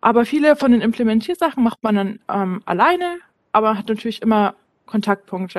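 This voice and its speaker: A woman's fairly quick speech with ordinary pitch variation and a dry, close sound with no echo. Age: 20s. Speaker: business analyst. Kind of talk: interview. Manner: hesitant with fillers.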